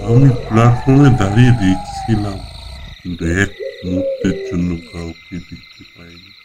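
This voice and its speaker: A man puts on a character voice at a fairly low pitch. He talks at a fairly slow pace. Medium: audio drama. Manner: slow, solemn.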